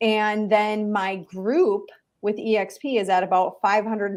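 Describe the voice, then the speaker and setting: A woman with a Minnesotan accent, medium pitch, fairly even intonation and a fairly slow pace. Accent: Minnesotan, noticeable. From Minnesota, rural small town. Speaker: real estate broker. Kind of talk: interview conversation.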